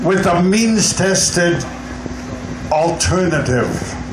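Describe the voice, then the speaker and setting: A man's high voice with noticeable background noise and audible room echo. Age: 80s+. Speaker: seniors' advocate. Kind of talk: rally speech. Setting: outdoor rally.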